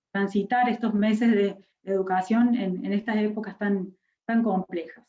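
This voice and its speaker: A woman speaks at a very slow pace in a fairly high pitch. Her voice is somewhat breathy, with a dark, mellow tone. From Córdoba, Argentina. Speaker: university education speaker. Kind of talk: lecture. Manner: hesitant, many fillers.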